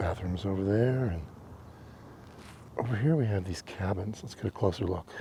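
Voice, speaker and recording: A man speaks at a moderate pace with long, frequent pauses, his voice somewhat breathy. His fairly low pitch has a dark, mellow tone and ordinary variation. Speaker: travel vlogger. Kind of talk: casual vlog narration. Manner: soft-spoken.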